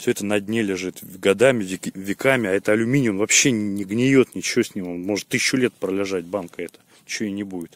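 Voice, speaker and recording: A man's fairly low-pitched voice at a very fast pace, fairly even in intonation, with a dry, close sound and no echo. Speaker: village vlogger. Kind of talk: casual outdoor vlog. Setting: outdoors by a river at night. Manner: quiet at night.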